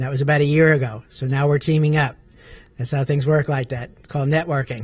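A man's somewhat breathy, monotone voice at a very fast pace, flat in intonation, in a dry sound with no echo. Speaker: talk show host. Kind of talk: talk show introduction. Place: meeting room. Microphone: handheld.

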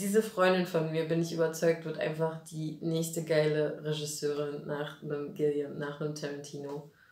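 With audible room echo, a woman speaks in an animated tone at a fairly low pitch. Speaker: actress and puppeteer; actress. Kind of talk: casual interview. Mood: cheerful, animated. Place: studio.

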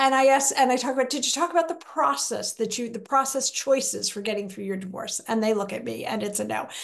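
With a high pitch and lively intonation, a woman speaks against a quiet background. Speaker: guest. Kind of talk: interview answer. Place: home room. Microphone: video call.

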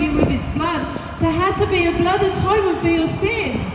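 Amid loud background noise and audible room echo, a woman talks at a fairly quick pace. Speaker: preacher. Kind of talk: sermon. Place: street. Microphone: camera far.

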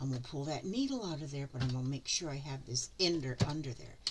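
A woman's somewhat breathy voice with an American accent over light background noise. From US. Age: 70s. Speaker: craft vlogger. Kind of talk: casual tutorial. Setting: home craft room. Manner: chatty, rambling. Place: home room. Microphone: phone near.

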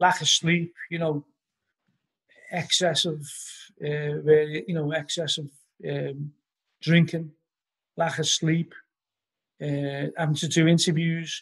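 A fairly high-pitched man with a Liverpool accent against a quiet background. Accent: Scouse (Liverpool). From Liverpool, England. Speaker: musician and author; podcast guest. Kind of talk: casual interview chat. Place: home room. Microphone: video call.

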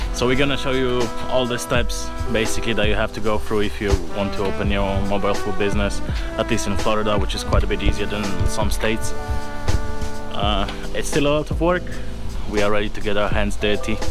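There is clear music behind the speech. A man delivers his words very quickly. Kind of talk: casual vlog chat. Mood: excited, upbeat. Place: street. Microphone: phone near.

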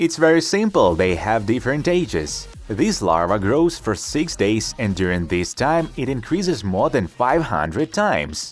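A man at a moderate pace with hardly any pauses, medium in pitch with very wide pitch swings, music in the background. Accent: Ukrainian. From Ukraine. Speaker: DIY experiment video host. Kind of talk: documentary-style voice-over narration.

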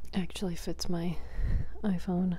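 Soft-spoken, a woman, moderate pace. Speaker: asmr creator. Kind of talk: asmr soft-spoken mukbang chatting. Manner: soft-spoken, quiet. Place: home room. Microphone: handheld.

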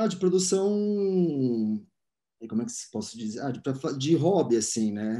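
The background is quiet as a man speaks. His tone is dark and mellow, and his pace is moderate. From Brazil, São Paulo. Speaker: art curator; interviewee. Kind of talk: interview. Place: home room. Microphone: video call.

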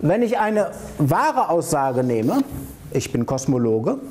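A man's fairly high voice, slow and full of big pitch swings, with faint background noise. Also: slightly mellow tone.

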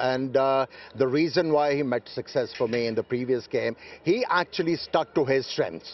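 A man at medium pitch and a moderate pace

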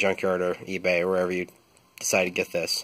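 The speech comes at a very fast pace. Noticeable background noise is present. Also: man. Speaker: truck owner, DIY mechanic. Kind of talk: casual how-to tutorial. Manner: hesitant, many fillers.

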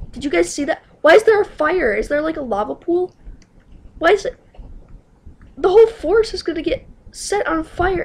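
Excited and extremely high-pitched, a woman swings very widely in pitch, keeping a moderate pace broken by long, frequent pauses. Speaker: video game let's player. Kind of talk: casual gameplay commentary. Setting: home computer screen recording. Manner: excited, alarmed.

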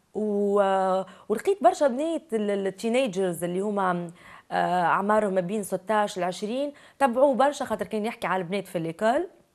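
Against a quiet background, someone with a Tunisian accent talks at a fairly quick pace with ordinary pitch variation. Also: woman. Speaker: actress and TV presenter; actress, TV presenter. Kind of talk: interview. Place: studio. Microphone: lapel.

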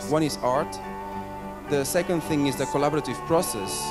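Over loud background music, a man talks at a fairly quick pace. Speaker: event founder and host. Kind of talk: launch event welcome speech to an audience. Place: hall. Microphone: handheld.

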